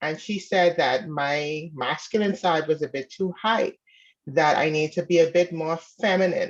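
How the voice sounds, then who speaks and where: A woman with a slight Bahamian accent, fairly low pitch, ordinary pitch variation and a fairly slow pace. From Bahamas. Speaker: caller seeking advice. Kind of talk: casual advice call.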